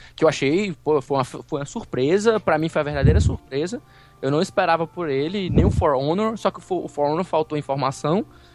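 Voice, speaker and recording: The speaker talks at a fairly quick pace with ordinary pitch variation over noticeable background noise. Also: man, fairly high pitch for a man. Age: 30s. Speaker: podcaster. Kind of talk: casual chat.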